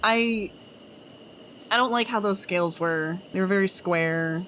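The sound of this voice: At a moderate pace, a woman with a Washington DC accent talks at a medium pitch with ordinary pitch variation. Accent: Washingtonian accent, regional vowels.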